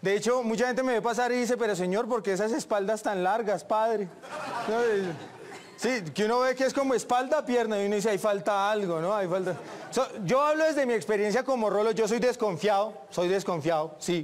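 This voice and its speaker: A man's high voice, fairly quick, with light background noise. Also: ordinary pitch variation. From Bogotá, Colombia. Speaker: stand-up comedian. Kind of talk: stand-up comedy routine. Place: stage.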